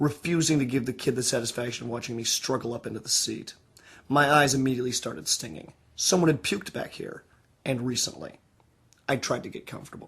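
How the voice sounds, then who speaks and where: The speech comes at a very fast pace with vocal fry. Loudness swings widely throughout. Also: man, medium pitch for a man, ordinary pitch variation. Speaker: author reading own novel. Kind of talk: audiobook reading.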